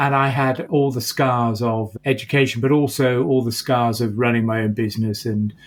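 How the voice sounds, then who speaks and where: A man talks at a moderate pace in an unremarkable speaking voice, medium in pitch with ordinary variation. The recording is very clean, with a silent background. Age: 60s. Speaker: entrepreneurship professor. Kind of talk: interview conversation.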